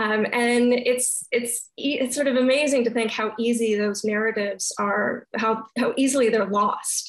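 Against a quiet background, a woman with a Canadian accent talks at a fairly high pitch in a flat monotone, her loudness very even. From Calgary, Alberta, Canada; Alberta, Canada. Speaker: art history professor; guest. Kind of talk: casual chat. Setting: video call. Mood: thoughtful, reflective. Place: home room. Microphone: video call.

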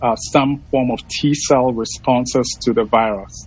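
A man talks at a fairly slow pace, his voice dry with no echo. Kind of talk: interview answer. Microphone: video call.

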